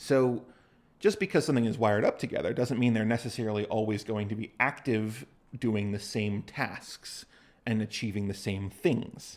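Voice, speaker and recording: Very clean recording, silent background, and a man at a moderate pace with medium pitch. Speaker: university lecturer. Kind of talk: lecture. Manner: casual.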